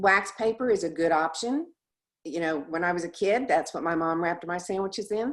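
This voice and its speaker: A woman speaks at a fairly quick pace in a normal speaking voice. Her pitch is fairly low, with ordinary pitch variation. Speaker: presenter. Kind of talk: presentation.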